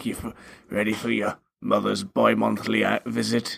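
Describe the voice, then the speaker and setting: Putting on a character voice, a raspy man speaks at a fairly slow pace. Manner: stern, scolding.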